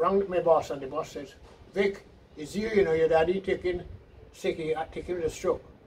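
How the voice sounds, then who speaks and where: Noticeable background noise runs under a man's high voice. He speaks at a moderate pace with fairly even intonation. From Carriacou, Grenada. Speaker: elderly islander interviewee. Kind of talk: oral history interview. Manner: halting, with false starts.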